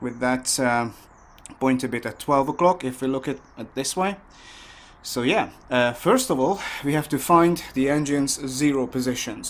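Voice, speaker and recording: A man talks at a moderate pace and medium pitch with ordinary pitch variation. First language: not English. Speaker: motorcycle mechanic. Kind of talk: tutorial. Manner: halting, many fillers.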